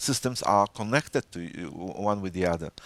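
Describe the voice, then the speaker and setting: In a Polish accent, a man talks at a fairly quick pace and fairly low pitch with ordinary pitch variation, on a very clean recording with a silent background and a dry, close sound with no echo. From Poland. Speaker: data protection official. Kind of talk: interview. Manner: halting, many fillers.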